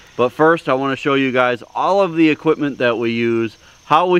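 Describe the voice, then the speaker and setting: A man speaks at a moderate pace with lively intonation. The sound is dry, with no echo. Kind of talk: tutorial.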